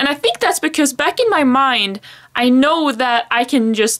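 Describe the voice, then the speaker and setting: A high-pitched woman with a Swedish accent and lively intonation. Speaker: planner vlogger. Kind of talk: casual chat. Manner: halting.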